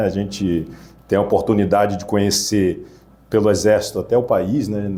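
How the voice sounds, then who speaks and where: A man with a fairly low pitch. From Rio de Janeiro, West Zone. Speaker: police commander. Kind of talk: interview. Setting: studio.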